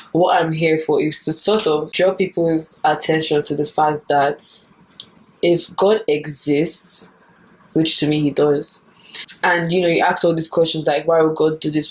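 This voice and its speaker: A woman with a very deep, low pitch speaks at a moderate pace with fairly even intonation over noticeable background noise. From Nigeria. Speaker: YouTuber. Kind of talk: casual talk to camera.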